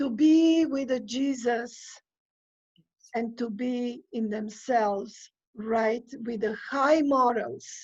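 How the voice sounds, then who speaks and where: The speech moves at a very slow pace with long, frequent pauses. Pitch varies in an ordinary way. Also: woman, high pitch for a woman. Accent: non-native. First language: not English. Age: 60s. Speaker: immigrant sharing life story. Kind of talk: interview. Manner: halting, many hesitations.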